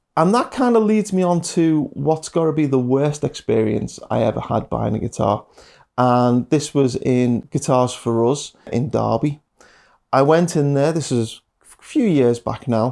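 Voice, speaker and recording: A man with a Liverpool accent, fairly high-pitched, dark and mellow in tone, with lively intonation, big swings in loudness and a fairly slow pace, on a very clean recording against a silent background. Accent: Scouse. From Liverpool, England. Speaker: guitar teacher. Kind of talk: casual monologue. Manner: hesitant with fillers.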